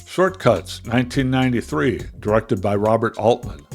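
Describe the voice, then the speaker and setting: Music runs in the background. A man speaks at a moderate pace with ordinary pitch variation. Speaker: film reviewer. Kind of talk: film review narration.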